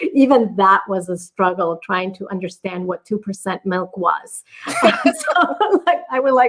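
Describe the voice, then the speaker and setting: A woman with a Spanish accent speaks at a fairly slow pace, her pitch swinging very widely. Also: medium pitch for a woman. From Mexico. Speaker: business coach. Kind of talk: podcast interview.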